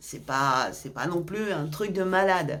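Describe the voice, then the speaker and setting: The voice carries lively intonation and an animated tone. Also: woman. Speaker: YouTuber giving health tips. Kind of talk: casual vlog advice.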